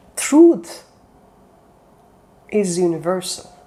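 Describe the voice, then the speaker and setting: Speaking very slowly, a woman talks with a non-native accent. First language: not English. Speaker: self-development coach. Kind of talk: motivational talk. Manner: halting.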